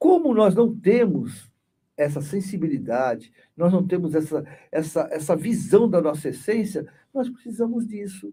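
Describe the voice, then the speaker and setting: Speaking at a fairly slow pace, a man with a high pitch and dark, mellow tone uses lively intonation. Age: 60s. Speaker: spiritist study group leader and therapist. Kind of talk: spiritist study group talk. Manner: conversational, many repetitions and fillers.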